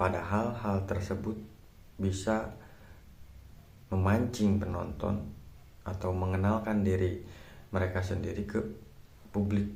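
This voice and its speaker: Somewhat breathy and dark, mellow in tone, the voice moves at a fairly slow pace with fairly even intonation and audible room echo. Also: man. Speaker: YouTuber. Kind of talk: vlog tutorial. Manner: casual, halting with fillers.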